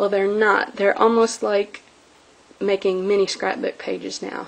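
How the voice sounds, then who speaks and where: Through noticeable background noise, a woman talks at medium pitch and a moderate pace. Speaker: crafting video maker. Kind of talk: craft show-and-tell tutorial. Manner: casual, many fillers (um).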